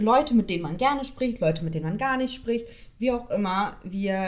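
With audible room echo around her, a woman speaks in lively intonation. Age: 20s. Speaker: podcast co-host. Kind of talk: casual chat.

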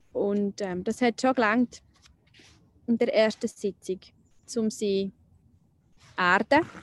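A woman talks very slowly in a fairly high voice, with fairly even intonation and long, frequent pauses. The sound is dry and close, with no echo. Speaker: nurse and spiritual healer. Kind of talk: personal testimony interview. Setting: outdoors by a lake. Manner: halting.

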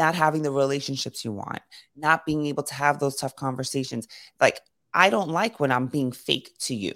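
In a New York accent, a woman speaks at a fairly quick pace in a very deep, low pitch with ordinary pitch variation. The recording is very clean, with a silent background. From New York City (Brooklyn and Queens). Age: 40s. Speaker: leadership coach. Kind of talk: casual chat.

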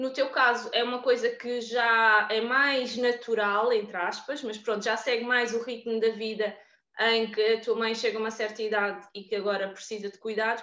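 Against a quiet background, a woman speaks at a moderate pace with a fairly high pitch and monotone, flat intonation. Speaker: podcast host. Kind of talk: casual chat.

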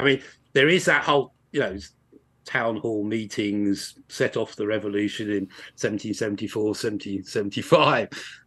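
Over a quiet background, a man with an English accent speaks at a very slow pace in a fairly low pitch. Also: ordinary pitch variation. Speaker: university lecturer and author. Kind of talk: interview.

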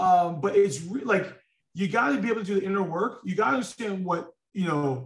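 A man with a New York accent and a high pitch talks at a fairly quick pace with ordinary pitch variation. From New York (Queens). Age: 30s. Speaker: corporate leader. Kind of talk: interview conversation. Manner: halting, many fillers.

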